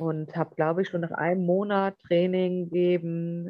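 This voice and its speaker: Fairly low in pitch, a woman speaks at a fairly slow pace with fairly even intonation. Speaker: capoeira trainer. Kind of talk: interview.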